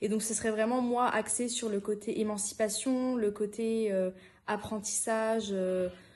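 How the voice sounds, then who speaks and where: Over noticeable background noise, a woman with a fairly high pitch speaks fairly slowly in a monotone, flat intonation at very even loudness. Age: young. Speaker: youth worker trainee. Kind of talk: podcast interview. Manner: hesitant, many fillers.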